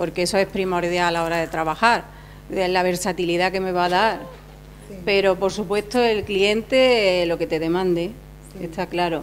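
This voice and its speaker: A woman speaks at a moderate pace with fairly even intonation over light background noise. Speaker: fashion designer. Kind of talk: interview. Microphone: handheld.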